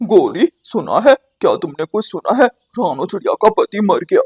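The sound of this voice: A man does a cartoonish character voice at an extremely high pitch, speaking at a moderate pace.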